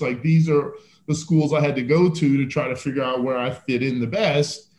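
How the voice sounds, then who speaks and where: Against noticeable background noise, a man talks with fairly even intonation at a fairly high pitch. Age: 50s. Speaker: fitness entrepreneur. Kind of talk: casual chat.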